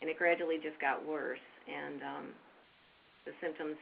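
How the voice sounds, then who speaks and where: At a moderate pace, a woman speaks with vocal fry in a very deep, low pitch. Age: 60s. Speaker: person with Parkinson's. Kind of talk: interview. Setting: webinar.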